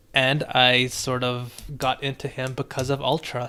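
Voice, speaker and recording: Relaxed yet bright and sharp in tone, the voice keeps a fairly even intonation. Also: man. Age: 30s. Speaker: music producer streamer reviewing beats. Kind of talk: live stream beat review and chat. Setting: live stream. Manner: casual, relaxed. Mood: reflective, warm storytelling. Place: home room.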